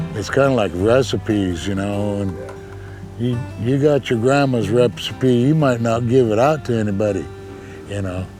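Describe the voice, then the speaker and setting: An American accent at a moderate pace with ordinary pitch variation, with music in the background. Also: man, medium pitch for a man. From Lapwai, Idaho. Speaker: fisheries worker and fishing elder. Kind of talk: interview answer. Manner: casual, folksy.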